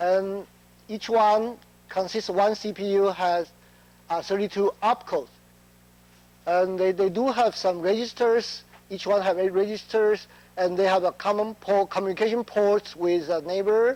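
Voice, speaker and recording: Delivered at a moderate pace with long, frequent pauses, the speech has a non-native accent and fairly even intonation. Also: man, high pitch for a man. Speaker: chip test engineer. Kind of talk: conference talk. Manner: halting, many fillers.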